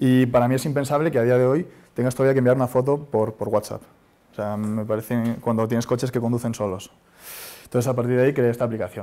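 At a very fast pace, a man speaks with a dark, mellow tone and medium pitch. His intonation is fairly even. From Spain (Madrid). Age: 30s. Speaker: startup founder; speaker. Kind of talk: conference talk; talk to audience. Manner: hesitant. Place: hall. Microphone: lapel.

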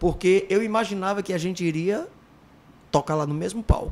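A man is talking at a fairly slow pace. His pitch varies in an ordinary way. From Ceará, Brazil (Iguatu); Ceará, Brazil. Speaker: former band singer; podcast guest. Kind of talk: casual interview chat. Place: studio. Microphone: studio mic.

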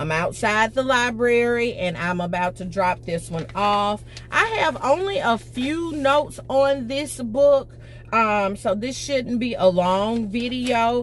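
Over music in the background, a woman speaks at a very slow pace with lively intonation in a dry sound with no echo. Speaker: book vlogger. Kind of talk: casual vlog chat. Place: car. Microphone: phone near.

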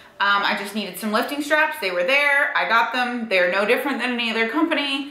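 Room echo can be heard clearly around a woman as she talks. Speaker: fitness vlogger. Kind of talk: casual vlog chat. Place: home room. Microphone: camera far.

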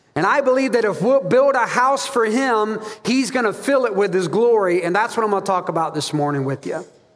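A man at a high pitch with lively intonation, fairly quick and with hardly any pauses. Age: 40s. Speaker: pastor. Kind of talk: sermon. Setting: church. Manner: animated. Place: church.

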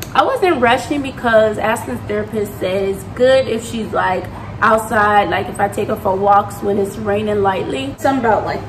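A woman at a moderate pace with noticeable background noise. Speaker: mother vlogger. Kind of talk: casual vlog chat. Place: kitchen. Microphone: phone near.

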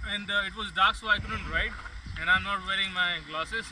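A man at a moderate pace in a dry sound with no echo, with noticeable background noise. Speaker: motorbike travel vlogger. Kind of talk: casual vlog chat. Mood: relaxed, joking. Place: open country. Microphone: phone near.

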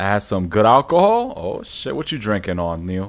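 The delivery is animated, with lively intonation and an American accent. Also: man. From New York. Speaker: gaming streamer. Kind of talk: live gameplay stream chat. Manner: casual, animated. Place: home room. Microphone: studio mic.

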